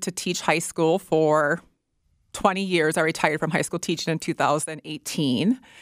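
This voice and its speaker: Over a very clean recording with a silent background, a woman in a normal speaking voice talks at a moderate pace, her fairly low pitch held in fairly even intonation, the sound dry and close with no echo. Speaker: military nutrition officer. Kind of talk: radio interview. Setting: studio.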